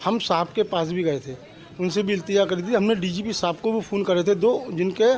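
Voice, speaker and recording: Over noticeable background noise, a man speaks at a high pitch. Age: 70s. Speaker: complainant. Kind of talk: testimony.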